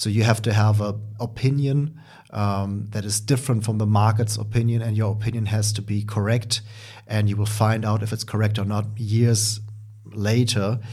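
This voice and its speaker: A man speaks at a moderate pace in a German accent. His voice is somewhat breathy, with monotone, flat intonation. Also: fairly low pitch for a man. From Germany. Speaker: podcast host, stock trader. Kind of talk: solo educational monologue. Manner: halting, many filler sounds.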